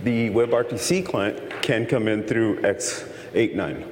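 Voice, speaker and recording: There's noticeable background noise and audible room echo around a man speaking with an American accent. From Texas. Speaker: conference presenter, tech engineer. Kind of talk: technical lecture. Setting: conference session with audience.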